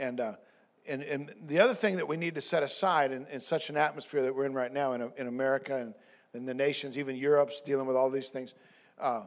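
A man with a fairly high voice at a fairly quick pace, against a quiet background. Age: 50s. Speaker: pastor. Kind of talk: sermon. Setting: church. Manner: halting, many fillers and repeats. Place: church. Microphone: handheld.

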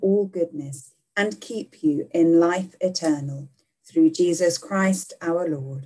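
Speaking fairly slowly, a woman uses ordinary pitch variation, and the background stays quiet. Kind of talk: liturgical prayer reading. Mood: calm, solemn. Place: home room. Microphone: webcam.

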